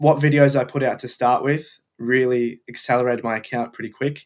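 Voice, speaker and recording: A man with an Australian accent talks at a fairly quick pace and a medium pitch. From Melbourne, Australia. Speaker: F1 content creator. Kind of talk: casual interview chat.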